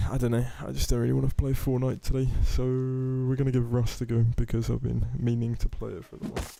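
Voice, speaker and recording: The voice carries a British accent and a dark, mellow tone. It moves at a very fast pace. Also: man. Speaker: gaming streamer. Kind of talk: live stream commentary.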